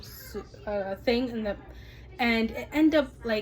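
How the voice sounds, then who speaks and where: A woman speaks with an Ethiopian accent. Her voice is fairly high, with ordinary pitch variation. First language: Amharic. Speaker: vlogger, mother. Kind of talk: casual cooking vlog. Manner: casual, hesitant with fillers.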